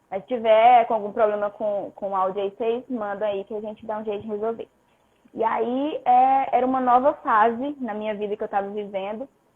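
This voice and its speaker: A woman at a fairly quick pace, with a fairly high pitch and fairly even intonation. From northern Brazil, Pará. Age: 20s. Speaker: personal trainer. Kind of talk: testimony.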